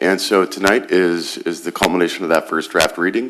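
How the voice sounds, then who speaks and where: There is noticeable background noise behind this man as he talks. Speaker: city manager. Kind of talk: council meeting presentation. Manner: formal.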